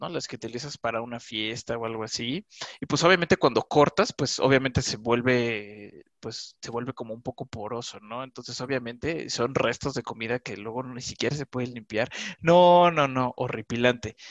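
A man's medium-pitched voice at a moderate pace, with ordinary pitch variation, big swings in loudness and a dry, close sound with no echo. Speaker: podcast host. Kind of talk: casual chat.

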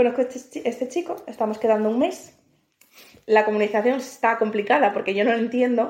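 A woman talks at a fairly quick pace in an unremarkable speaking voice. Her pitch is fairly high, with ordinary variation. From northern Spain, Asturias. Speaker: podcast co-host. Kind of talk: casual chat.

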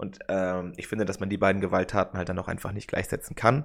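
A man talks with fairly low pitch and monotone, flat intonation. The recording is very clean, and the background is silent. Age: 20s. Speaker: political science student and podcast co-host. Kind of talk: casual chat.

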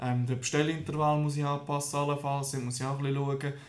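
Monotone, flat male speech at a fairly high pitch and moderate pace, with audible room echo. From Switzerland, canton of Lucerne. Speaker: small business founder. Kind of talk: interview. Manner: halting.

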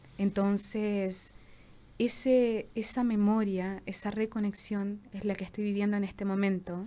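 In a dark, mellow tone, a woman talks at a fairly slow pace with a medium pitch and monotone, flat intonation. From southern Chile, Valdivia. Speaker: visual artist and social worker. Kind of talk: casual chat.

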